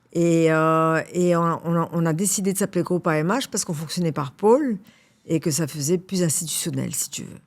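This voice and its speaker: A woman's fairly low voice, showing ordinary pitch variation, proceeds at a moderate pace. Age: 60s. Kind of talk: podcast interview. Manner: hesitant, many fillers.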